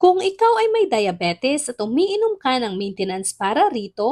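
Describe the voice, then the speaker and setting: At a moderate pace, a woman with a high pitch speaks with very wide pitch swings, the sound dry and close with no echo. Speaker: health educator / video host. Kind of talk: scripted narration.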